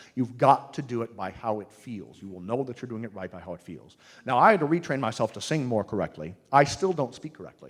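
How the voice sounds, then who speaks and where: A man at medium pitch, very fast with hardly any pauses, lively intonation and big swings in loudness. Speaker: singing teacher. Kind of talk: seminar talk. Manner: animated, enthusiastic; halting, repetitive.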